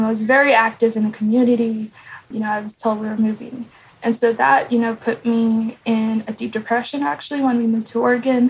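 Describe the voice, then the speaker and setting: Fairly quick, fairly high-pitched speech from a woman, with fairly even intonation and an ordinary speaking voice. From US Midwest, Kansas. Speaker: photographer and multimedia journalist. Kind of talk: interview. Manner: casual, many fillers.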